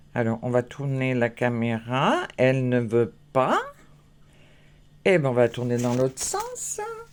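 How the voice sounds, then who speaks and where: With noticeable background noise behind her, a woman with a very deep, low pitch speaks at a very slow pace with long, frequent pauses. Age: 60s. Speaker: craft vlogger. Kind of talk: casual vlog. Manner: hesitant, many fillers.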